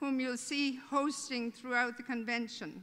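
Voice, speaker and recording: A woman's raised, projected voice with an Irish accent, a bright, sharp tone and fairly even intonation. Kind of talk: welcome speech. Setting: stage with audience at a convention. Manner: humorous, conversational.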